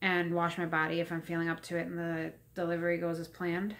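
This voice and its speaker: A woman's fairly low-pitched voice. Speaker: pregnant vlogger. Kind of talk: casual vlog chat. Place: home room. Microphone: phone near.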